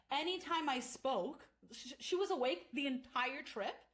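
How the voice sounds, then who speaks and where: An animated tone with lively intonation. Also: woman. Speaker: podcast host. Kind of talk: casual chat.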